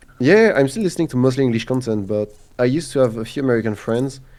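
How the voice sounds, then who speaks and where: Very fast and with lively intonation, a man talks in a French accent at a medium pitch. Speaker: gaming content creator. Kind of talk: casual chat. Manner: halting.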